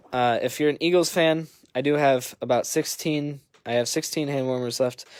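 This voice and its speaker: Speaking with an Upper Midwest accent, a man keeps his intonation fairly even. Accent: Upper Midwest (Wisconsin). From Wisconsin, Green Bay. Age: 20s. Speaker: sports card breaker, new PE teacher. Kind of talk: casual livestream chat. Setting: livestream over wi-fi.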